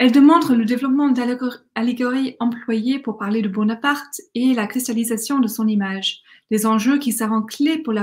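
Against a quiet background, a woman with an English accent speaks at a moderate pace, her pitch fairly high and her pitch variation ordinary. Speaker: academic conference speaker; conference speaker. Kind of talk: academic conference talk. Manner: hesitant, with fillers and restarts. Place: home room. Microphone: webcam.

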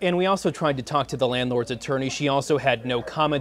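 A man with a normal speaking voice talks at a fairly quick pace, with ordinary pitch variation and light background noise. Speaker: TV news reporter. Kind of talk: TV news report. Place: office. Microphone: lapel.

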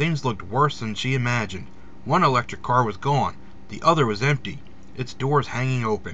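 Pitch varies in an ordinary way throughout a natural reading voice.

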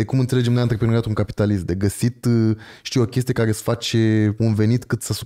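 Very fast and fairly even in intonation, a man speaks in a dark, mellow tone against a quiet background. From Romania. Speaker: podcast host. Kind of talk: casual chat. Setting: studio. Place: home room. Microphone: studio mic.

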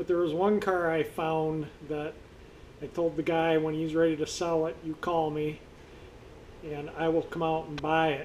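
A man speaks over light background noise. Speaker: car hobbyist vlogger. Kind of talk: casual vlog chat. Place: garage. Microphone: phone near.

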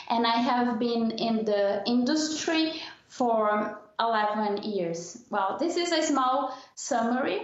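At a very slow pace and with very even loudness, a woman with a Portuguese accent and a fairly high pitch speaks in audible room echo over a quiet background. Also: lively intonation. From southern Brazil. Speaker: diversity and intercultural consultant. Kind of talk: interview podcast. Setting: remote call from Brazil. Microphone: video call.

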